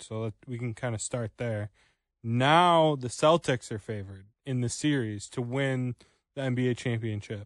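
In a normal speaking voice, a man talks at a moderate pace and medium pitch with ordinary pitch variation, the sound dry and close with no echo against a quiet background. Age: 20s. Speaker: radio producer and co-host. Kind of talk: radio sports talk show.

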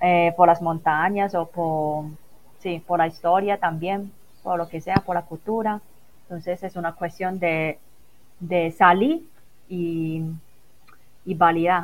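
A woman speaks at a very slow pace in a monotone, flat intonation. Her speech is broken by long, frequent pauses. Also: fairly low pitch for a woman. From Macao. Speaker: business internationalization coordinator. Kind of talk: interview. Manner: halting.

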